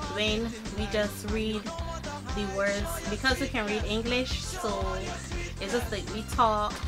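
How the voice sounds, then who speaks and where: A woman speaks with a Barbadian accent. Clear music plays in the background. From Barbados. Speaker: vlogger. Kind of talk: casual talk to camera. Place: home room. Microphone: webcam.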